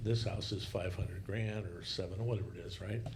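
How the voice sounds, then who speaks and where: Fairly low in pitch, a man speaks with fairly even intonation. Audible room echo surrounds the voice. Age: 60s. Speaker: podcast guest. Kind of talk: casual discussion.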